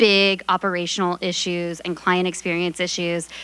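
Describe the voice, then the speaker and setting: Loud and bright with a sharp tone, a woman speaks at a medium pitch and a moderate pace. The recording is very clean with a silent background. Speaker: customer marketing manager. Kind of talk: audience testimony.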